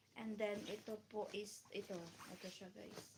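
A woman's fairly high-pitched, somewhat breathy voice. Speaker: YouTuber. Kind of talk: live unboxing stream. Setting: live stream at home during work break. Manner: animated.

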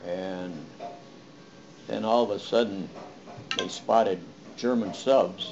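With music in the background, a man talks at a fairly low pitch with fairly even intonation. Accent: American. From United States. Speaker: war veteran. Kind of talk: interview answer. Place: home room. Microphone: webcam.

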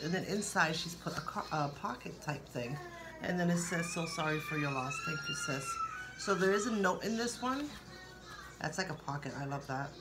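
A woman talks at a moderate pace. There is music in the background. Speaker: vlogger sharing received cards. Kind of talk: casual vlog chat. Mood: warm, grateful, soft-spoken. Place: kitchen. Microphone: phone near.

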